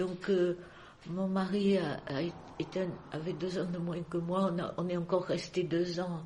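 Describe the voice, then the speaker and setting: A woman at a fairly slow pace, flat and monotone in intonation, with long, frequent pauses. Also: fairly low pitch for a woman. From Marseille, France. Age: 80s+. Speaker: retiree. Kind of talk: interview answer.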